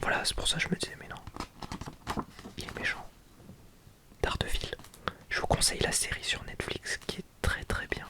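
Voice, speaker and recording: Whispering at a fairly slow pace, a man leaves long, frequent pauses over noticeable background noise. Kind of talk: ASMR book presentation, casual talk to camera. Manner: whispered, relaxing.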